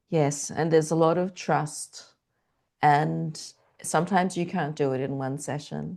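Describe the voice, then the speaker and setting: With an Australian accent, a woman speaks at a very deep, low pitch in a dark, mellow tone with vocal fry, fairly even intonation and a fairly slow pace broken by long, frequent pauses, against a quiet background. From Australia (Canberra). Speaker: transformational coach. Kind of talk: podcast interview.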